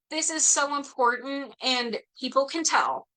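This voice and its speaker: A woman with a high pitch uses a raised, projected voice with a bright, sharp tone, ordinary pitch variation and a fairly slow pace. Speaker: attorney presenting legal information. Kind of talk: webinar presentation.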